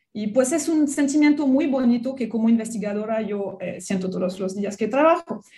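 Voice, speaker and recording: A woman in a French accent, somewhat breathy, with a dark, mellow tone and lively intonation. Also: fairly high pitch for a woman, moderate pace. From France. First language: French (speaking Spanish). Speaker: biology researcher and professor. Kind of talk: radio interview.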